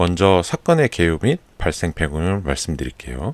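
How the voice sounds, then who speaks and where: A man speaks at a moderate pace with a very deep, low pitch. His pitch swings very widely, and the sound is dry and close with no echo. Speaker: Korean listening content host. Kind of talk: news briefing narration.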